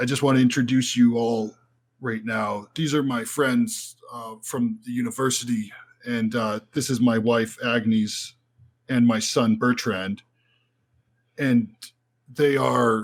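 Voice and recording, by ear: A man puts on a raspy character voice at a medium pitch, flat and monotone. He speaks fairly slowly, with long, frequent pauses.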